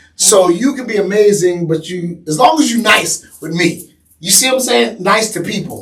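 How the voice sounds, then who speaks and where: A loud man with an American accent speaks at a high pitch and a moderate pace. His intonation is lively, with hardly any pauses. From New York. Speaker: podcast guest. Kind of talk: casual chat.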